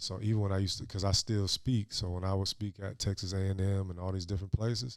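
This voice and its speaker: In a very clean recording with a silent background, a man with an American accent talks very fast at a fairly low pitch, flat and monotone, with big swings in loudness. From Florida. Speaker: former pro basketball player, youth coach. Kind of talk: casual podcast chat. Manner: forceful, speaks with conviction.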